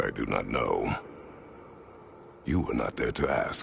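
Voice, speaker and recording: A man does a cartoonish character voice at a fairly slow pace, with clear background noise behind him. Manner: terse, formal, no contractions.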